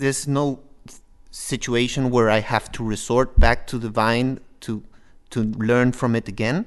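Medium pitch from a man, fairly even intonation, a moderate pace, and a quiet background. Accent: Spanish. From Peru. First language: Spanish. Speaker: master's student. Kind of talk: panel discussion. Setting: studio.

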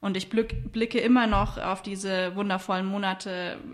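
A woman speaks at a fairly slow pace in a plain, everyday voice. Her pitch varies in an ordinary way. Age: 30s. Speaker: entrepreneur and sustainability consultant. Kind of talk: interview.

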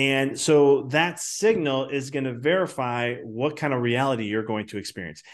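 A man with an American accent and a plain, everyday voice, medium in pitch, at a moderate pace with ordinary pitch variation, hardly any pauses, and a quiet background. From Chicago. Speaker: business coach and chiropractor. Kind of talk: podcast interview.

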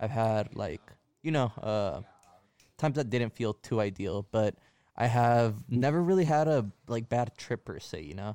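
The voice has a dark, mellow tone and lively intonation. The recording is very clean, with a silent background and a dry, close sound with no echo. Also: man, medium pitch for a man, moderate pace. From Mexican heritage. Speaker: returning podcast guest. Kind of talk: casual chat.

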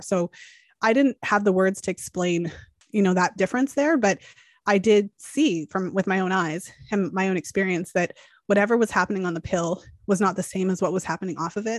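A woman's medium-pitched voice, a plain, everyday voice, at a fairly quick pace, with a dry, close sound, no echo, and a quiet background. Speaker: fertility awareness educator. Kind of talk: interview.

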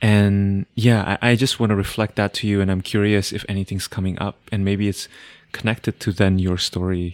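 On a very clean recording with a silent background and a dry, close sound with no echo, a man with a non-native accent speaks at a moderate pace in a fairly low, monotone, flat voice. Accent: foreign-accented English. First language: not English. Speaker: podcast host and astrologer. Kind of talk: casual conversation.

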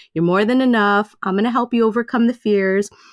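A woman's fairly high-pitched voice with ordinary pitch variation, in a dry, close sound with no echo and a very clean recording with a silent background. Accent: New York. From Queens, New York. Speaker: life coach and author. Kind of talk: interview.

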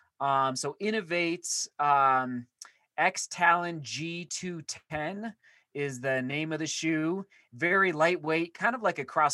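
Lively intonation and a bright, sharp tone come through a dry, close recording with no echo and a quiet background. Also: man. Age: 30s. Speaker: runner and YouTuber. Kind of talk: casual chat.

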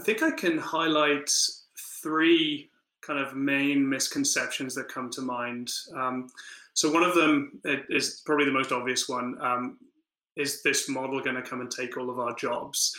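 Fairly high in pitch, a man uses an ordinary speaking voice with fairly even intonation at a fairly slow pace. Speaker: city data analytics lead. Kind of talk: interview answers, professional.

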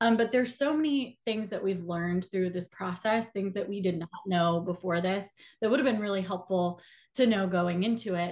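A woman with an American accent speaks in an ordinary speaking voice at a medium pitch and moderate pace, with lively intonation. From Atlanta, Georgia, US South. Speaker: filmmaker and actor. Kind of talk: interview.

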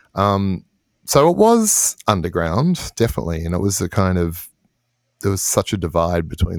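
In an Australian accent, a man speaks with a very deep, low pitch. The sound is dry and close, with no echo. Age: 50s. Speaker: electronic musician. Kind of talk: interview.

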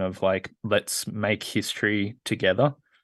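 This man speaks in a flat monotone at a fairly slow pace, his pitch fairly low. He has an Australian accent, and the background is quiet. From rural Australia. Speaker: skateboarder and crypto founder. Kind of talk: casual interview chat. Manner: halting, many fillers.

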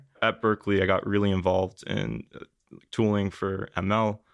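A man with an unremarkable speaking voice talks at a moderate pace in a fairly low pitch. The sound is dry and close with no echo, over a quiet background. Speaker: biotech startup founder. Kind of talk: interview.

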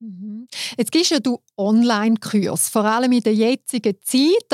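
With a Swiss accent, a woman speaks in a dry, close sound with no echo on a very clean recording with a silent background. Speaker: podcast host. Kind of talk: casual interview.

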